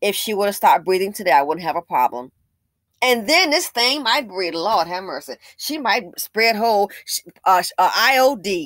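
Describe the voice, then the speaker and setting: A woman speaks in an animated tone at a medium pitch. Her pitch swings very widely. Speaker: YouTube commentator. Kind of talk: angry rant, opinionated commentary on a news story. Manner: indignant, scornful, harsh and emphatic; animated, sarcastic, fast-paced with stumbles.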